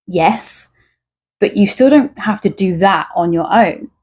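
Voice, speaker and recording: Somewhat breathy, a woman speaks at a very slow pace in a medium pitch. Her pitch variation is ordinary, and the recording is very clean with a silent background. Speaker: tarot reader. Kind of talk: tarot reading with card messages read aloud. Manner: occasional stutter in speech.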